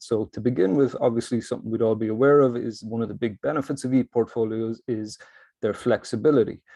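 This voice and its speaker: With a Cork accent, a man talks fairly quickly at a medium pitch, with a dark, mellow tone and fairly even intonation. The sound is dry and close with no echo, over a quiet background. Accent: Cork Irish. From Ireland, Cork. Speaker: academic presenter in learning technology. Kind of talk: conference presentation. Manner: fast.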